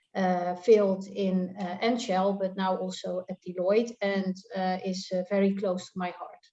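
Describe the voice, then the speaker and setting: This woman has a Dutch accent and a dark, mellow tone. She talks at a moderate pace. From Netherlands. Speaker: tax consultant. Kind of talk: panel discussion. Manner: halting.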